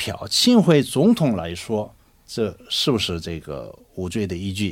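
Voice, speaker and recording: A man with a Korean accent talks with very wide pitch swings. The recording is very clean, with a silent background. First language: Korean (speaking Chinese). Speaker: lawyer. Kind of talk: radio panel discussion. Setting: studio. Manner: halting, many fillers.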